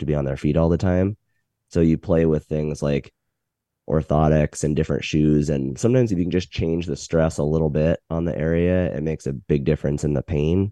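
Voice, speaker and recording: Against a quiet background, a man with a very deep, low pitch and a dark, mellow tone talks at a very fast pace with fairly even intonation, in a dry, close sound with no echo. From Montana, US. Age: 40s. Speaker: physical therapist. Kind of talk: expert Q&A answers. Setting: video call.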